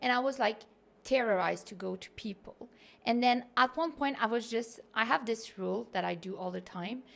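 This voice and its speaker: With a Quebec accent and vocal fry, a woman talks at a moderate pace in a fairly high pitch with ordinary pitch variation. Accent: Québécois French accent in English. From Quebec City, Canada. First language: French. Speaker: content creator and digital nomad. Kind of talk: podcast interview. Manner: casual, filler-heavy.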